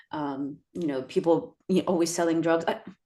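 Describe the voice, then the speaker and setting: A woman speaks with a Spanish accent over a quiet background. Her voice is fairly low, with ordinary pitch variation. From US, Mexican-American, Spanish-speaking household. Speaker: actor and creator. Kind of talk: interview conversation.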